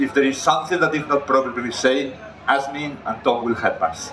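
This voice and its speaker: A man's medium-pitched voice at a moderate pace, ordinary pitch variation, noticeable background noise. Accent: Catalan. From Catalonia, Spain. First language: Spanish/Catalan. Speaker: chef. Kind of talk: cooking demonstration.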